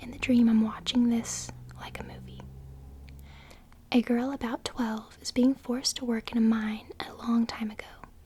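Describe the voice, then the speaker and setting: Against noticeable background noise, a woman speaks at a moderate pace in a high pitch. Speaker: ASMR creator. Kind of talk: ASMR reading of viewer-submitted dreams. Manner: soft, whispered.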